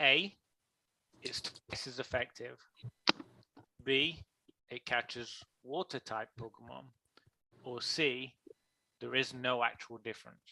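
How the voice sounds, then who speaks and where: A man at medium pitch has a bright, sharp tone with vocal fry, ordinary pitch variation and big swings in loudness. He speaks fairly slowly with long, frequent pauses, in a dry, close sound with no echo. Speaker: game show style stream host. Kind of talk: live game show quiz on stream.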